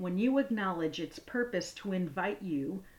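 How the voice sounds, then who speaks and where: Her tone soothing and calm, a woman at a medium pitch speaks with lively intonation. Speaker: podcast host. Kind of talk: guided meditation. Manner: slow, soothing, calm; gentle, unhurried, with pauses.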